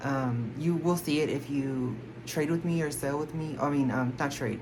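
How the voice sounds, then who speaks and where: The room echo is audible as a woman speaks with an American accent. Her pitch is very deep and low, with ordinary variation. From Texas, Houston. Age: 20s. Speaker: K-pop collector YouTuber. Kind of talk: casual Q&A vlog. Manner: rambling, filler-heavy. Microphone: no microphone, camera audio.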